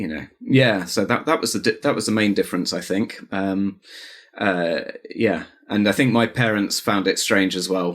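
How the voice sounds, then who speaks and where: His pitch fairly low, a man delivers his words at a moderate pace. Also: ordinary pitch variation. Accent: Home Counties. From England, Buckinghamshire (home counties). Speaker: artist. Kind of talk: casual interview chat. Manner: halting, many fillers.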